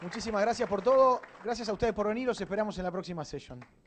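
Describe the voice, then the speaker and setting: Over crowd noise in the background, the speaker goes at a very fast pace with ordinary pitch variation. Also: man. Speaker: event and podcast host. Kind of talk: event introduction. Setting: stage with audience.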